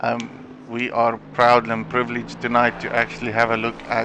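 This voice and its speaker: A man's medium-pitched voice against noticeable background noise. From South Africa. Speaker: esports race commentator. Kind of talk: live commentary. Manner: hesitant, frequent fillers and repetitions.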